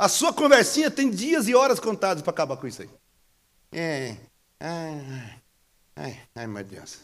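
The voice is animated, with very wide pitch swings and big shifts in loudness. It moves at a fairly slow pace, broken by long, frequent pauses. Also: man, high pitch for a man. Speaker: pastor. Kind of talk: sermon, preaching live to a church congregation. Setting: church service with congregation, streamed online. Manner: animated, exclamatory, joking and laughing mid-sermon.

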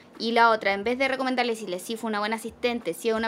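The speaker is a woman. She talks with a Chilean accent. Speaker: film podcast co-host. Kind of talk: casual film discussion.

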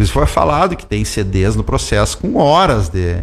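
A man is speaking. His pace is moderate. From Rio Grande do Sul, Santa Maria. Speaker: judge. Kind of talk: radio interview.

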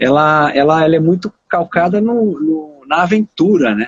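A man speaks at a very slow pace. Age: 50s. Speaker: saxophonist and music teacher. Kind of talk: casual chat.

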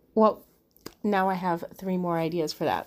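A woman speaks in a normal speaking voice at a medium pitch. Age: 40s. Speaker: podcast host. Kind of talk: solo podcast monologue.

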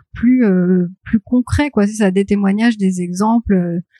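A woman speaks at a medium pitch in a somewhat breathy voice with a dark, mellow tone. The sound is dry and close, with no echo. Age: 30s. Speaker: graphic designer and comic author. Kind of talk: interview.

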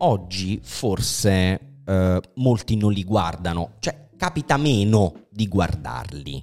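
With music in the background, a man speaks very slowly in a very deep, low pitch, his intonation lively. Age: 40s. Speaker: podcast host. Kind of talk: casual chat.

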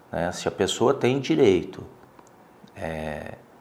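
Audible room echo hangs around the voice of a man as he speaks. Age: 50s. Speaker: lawyer and businessman. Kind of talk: interview testimony. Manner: halting, many fillers.

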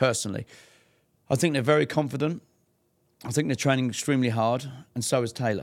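This man has an English accent and a medium pitch. He talks at a fairly quick pace with ordinary pitch variation. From England. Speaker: fight promoter. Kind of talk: casual interview. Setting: in person.

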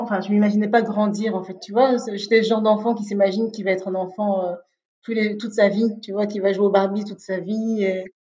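Her tone dark and mellow, a woman at medium pitch speaks in a monotone, flat intonation. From Belgium, Liège. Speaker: interview guest sharing personal story. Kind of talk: casual interview chat. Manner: hesitant, many fillers and repetitions.

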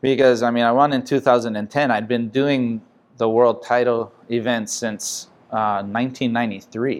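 A man speaks at a medium pitch with a Hawaiian accent and ordinary pitch variation, on a very clean recording with a silent background. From Hawaii, Makaha (Oahu west side). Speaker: pro surfer. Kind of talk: interview.

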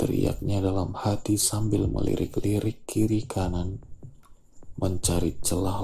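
Very slow speech from a man with a fairly low pitch, a dark, mellow tone, vocal fry and very even loudness. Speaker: audiobook narrator. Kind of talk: literary audiobook reading of a short story, scripted narration. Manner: measured, even storytelling pace with a steady, expressive narrator tone.

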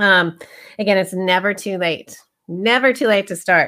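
A woman's medium-pitched voice has a bright, sharp tone and ordinary pitch variation, on a very clean recording with a silent background. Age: 50s. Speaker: health coach and podcast host. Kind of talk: casual solo talk. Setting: live broadcast. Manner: halting, many fillers.

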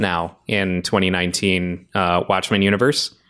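Here a man with an American accent speaks with a very deep, low pitch. The recording is very clean, with a silent background. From Arizona. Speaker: podcast host. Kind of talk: casual chat.

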